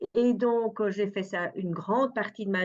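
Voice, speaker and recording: A woman with a Dutch accent. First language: Dutch (speaking French). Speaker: perfumer and art therapist. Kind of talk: interview. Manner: hesitant, many fillers.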